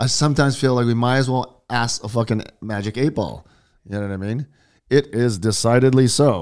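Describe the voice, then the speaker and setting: Heard on a very clean recording with a silent background, a man with an ordinary speaking voice and an American accent talks at a fairly quick pace, medium in pitch with ordinary pitch variation. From US. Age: 50s. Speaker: podcast host. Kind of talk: casual chat. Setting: live stream.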